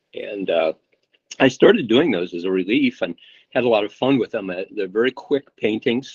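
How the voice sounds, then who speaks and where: At a moderate pace, a man with a medium-pitched voice talks with lively intonation. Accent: American. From US Midwest (Indiana, small town). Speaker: painter. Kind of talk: casual interview.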